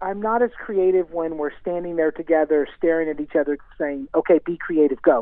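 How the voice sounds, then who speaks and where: At a fairly quick pace with hardly any pauses, a high-pitched man in an American accent speaks with ordinary pitch variation. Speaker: singer songwriter. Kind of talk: radio interview.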